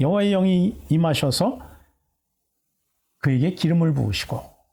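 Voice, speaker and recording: A man with a fairly high pitch speaks at a moderate pace in a dark, mellow tone, on a very clean recording with a silent background. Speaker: pastor. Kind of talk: sermon. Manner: halting, many fillers.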